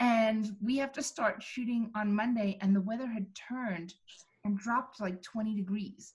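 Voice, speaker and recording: Her fairly high voice is somewhat breathy, and this woman speaks at a moderate pace with fairly even intonation. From South Africa. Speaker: film director. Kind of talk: casual Q&A chat.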